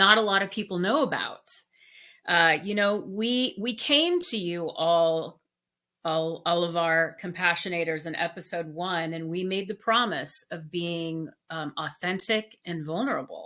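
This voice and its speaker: A woman's fairly low-pitched voice with a bright, sharp tone, at a fairly slow pace, on a very clean recording with a silent background. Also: ordinary pitch variation. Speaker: podcast co-host. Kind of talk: casual chat.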